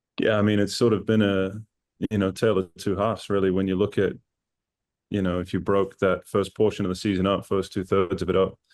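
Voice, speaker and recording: A man talks at a fairly quick pace with a New Zealand accent and a fairly low pitch. His intonation is monotone and flat, and the background is quiet. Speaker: assistant football coach. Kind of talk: casual interview.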